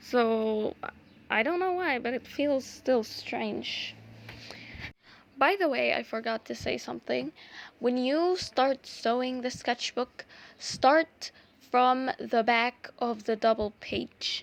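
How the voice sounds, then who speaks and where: A high-pitched woman's voice in an Arabic accent, very slow and broken by long, frequent pauses. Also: ordinary pitch variation. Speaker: art YouTuber. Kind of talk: tutorial. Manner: halting; casual, many fillers.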